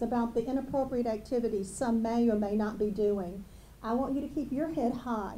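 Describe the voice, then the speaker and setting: Amid audible room echo, a woman with a fairly high pitch, ordinary pitch variation and a dark, mellow tone speaks at a moderate pace. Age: 60s. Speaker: school district administrator. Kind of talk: ceremony speech.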